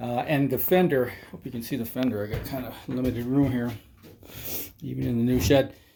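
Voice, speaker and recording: At medium pitch, a man speaks at a fairly quick pace with fairly even intonation. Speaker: motorcycle hobbyist vlogger. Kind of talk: casual workshop walkthrough. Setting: in a shed. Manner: casual, hesitant with fillers.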